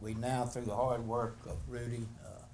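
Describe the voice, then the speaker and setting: A man's moderate-paced speech carries audible room echo. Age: 70s. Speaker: resident speaking at public hearing. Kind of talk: public comment at council meeting. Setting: city council meeting.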